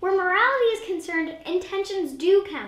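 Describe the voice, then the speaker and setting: The put-on character voice is extremely high-pitched and moves at a fairly quick pace. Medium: comedy sketch. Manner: exasperated.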